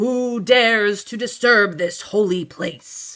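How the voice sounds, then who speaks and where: A female-sounding, put-on character voice speaks at a medium pitch. It moves at a fairly slow pace. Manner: thundering.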